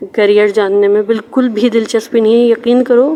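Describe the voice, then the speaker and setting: Fairly high-pitched female speech with fairly even intonation amid noticeable background noise. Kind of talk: casual talk to camera, personal message. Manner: stammering.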